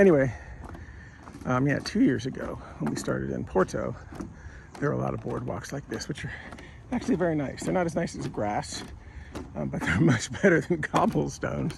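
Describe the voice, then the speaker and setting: Over noticeable background noise, a man talks at a fairly quick pace yet leaves long, frequent pauses. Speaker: travel vlogger walking a pilgrimage. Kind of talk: casual vlog narration.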